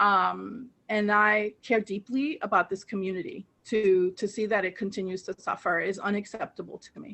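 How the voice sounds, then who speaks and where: A woman with a Spanish accent and a medium pitch speaks at a moderate pace, with ordinary pitch variation and big swings in loudness. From moved from Colombia to Queens as a child. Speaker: political candidate. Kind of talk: interview.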